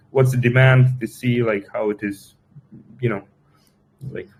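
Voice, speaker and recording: A man's voice, somewhat breathy. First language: Russian. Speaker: crypto project team member. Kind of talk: live Q&A session. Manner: halting, many fillers and repetitions.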